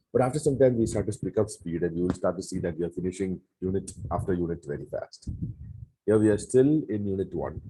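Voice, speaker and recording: A man with a very deep, low pitch speaks very fast in a dark, mellow, somewhat breathy tone with lively intonation. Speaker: Bible course teacher. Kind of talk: lecture. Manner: halting.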